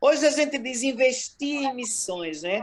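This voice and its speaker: A woman speaks at a fairly slow pace in a high-pitched voice. Her intonation is lively. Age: 60s. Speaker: missionary. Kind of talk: interview testimony.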